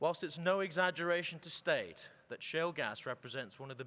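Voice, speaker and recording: Speaking at a fairly quick pace, a man has a British accent and a bright, sharp tone. His pitch varies in an ordinary way. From Britain. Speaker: oil and gas executive. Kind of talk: conference keynote speech. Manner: formal.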